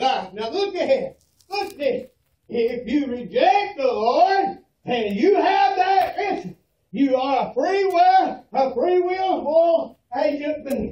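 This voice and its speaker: Shouting loudly in a Southern US accent, a man with an extremely high pitch speaks at a very slow pace with very wide pitch swings, amid audible room echo. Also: dark, mellow tone. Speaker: preacher. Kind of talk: fire-and-brimstone funeral sermon. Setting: funeral parlor, room recording. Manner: loud, shouting, fervent. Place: hall. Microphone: camera far.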